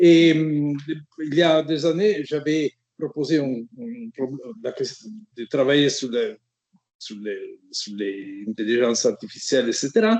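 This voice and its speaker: Speaking in an Italian accent, a man goes at a very slow pace with long, frequent pauses. His pitch swings very widely and his loudness shifts a lot. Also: fairly high pitch for a man. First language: Italian (speaking French). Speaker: semiotics professor. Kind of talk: academic lecture. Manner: halting, many hesitations.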